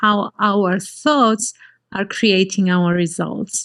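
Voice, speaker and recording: Very slow delivery with fairly even intonation and a Greek accent. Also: woman. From Cyprus. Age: 50s. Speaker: life coach. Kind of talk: interview.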